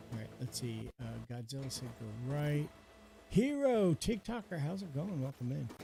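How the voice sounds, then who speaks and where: Lively in intonation, a man speaks at a moderate pace with a fairly high pitch, a dark, mellow tone, and a somewhat breathy quality. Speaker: gaming streamer. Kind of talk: live stream commentary with chat. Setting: live stream. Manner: calm, relaxed pace.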